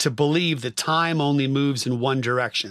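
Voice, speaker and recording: On a very clean recording with a silent background, a man speaks with an American accent at a fairly high pitch with ordinary pitch variation. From US West Coast, San Francisco Bay Area. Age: 50s. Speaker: musician and record producer. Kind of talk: casual chat.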